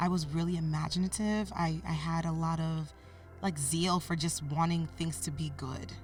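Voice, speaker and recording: Audible room echo and noticeable background noise accompany the speech of a woman. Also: moderate pace. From US (moved from Cameroon via Canada at age 8). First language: French. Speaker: podcast guest, mentor. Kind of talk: interview, personal life story.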